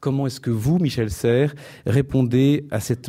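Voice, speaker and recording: In a very clean recording with a silent background, a man speaks at a fairly slow pace with a dark, mellow tone and ordinary pitch variation. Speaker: event moderator. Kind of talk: formal introduction. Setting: stage with audience. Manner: formal.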